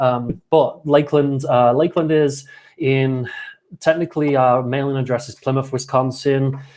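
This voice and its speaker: Someone with a British accent speaks at a moderate pace, intonation fairly even. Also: man. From Britain. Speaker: college soccer coach. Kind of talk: casual video chat.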